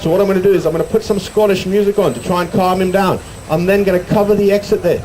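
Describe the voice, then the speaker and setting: Over noticeable background noise and audible room echo, a man talks at a very fast pace with a high pitch. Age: 60s. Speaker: sheep show presenter. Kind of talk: live stage show with audience banter. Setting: stage with outdoor audience. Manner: animated. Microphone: poor sound quality.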